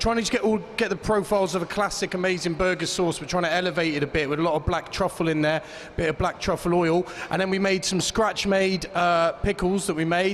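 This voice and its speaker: Against noticeable background noise, a man with a British accent speaks at a very fast pace, with a high pitch and fairly even intonation. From Great Britain. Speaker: competition chef. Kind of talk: dish presentation to judges.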